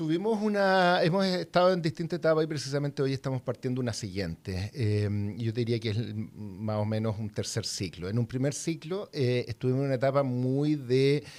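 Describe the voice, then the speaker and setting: A man's medium-pitched voice with very wide pitch swings, a moderate pace and hardly any pauses. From southern Chile. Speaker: university innovation director. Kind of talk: interview.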